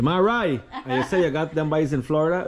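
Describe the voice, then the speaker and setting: This man's fairly high voice makes very wide pitch swings, and his tone is animated. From Guyana. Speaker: YouTube vlogger. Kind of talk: casual vlog narration. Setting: outdoors at a market and beach.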